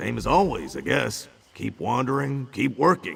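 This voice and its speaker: At a moderate pace, a man at medium pitch talks in a put-on character voice. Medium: video game. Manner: gruff, wry.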